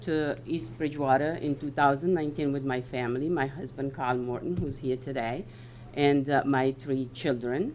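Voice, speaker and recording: Audible room echo surrounds a woman whose voice is very deep and low. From West Africa. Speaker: local election candidate. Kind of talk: candidate statement at public forum. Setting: town hall meeting with audience. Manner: hesitant, many fillers.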